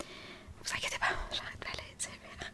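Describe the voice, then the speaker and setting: A woman is whispering. Noticeable background noise runs behind her. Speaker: ASMR content creator. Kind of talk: ASMR chit chat while doing makeup. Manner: whispered, soft.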